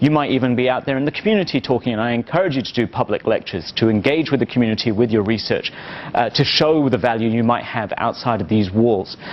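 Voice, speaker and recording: A man speaks very fast. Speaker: marketing professor. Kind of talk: lecture.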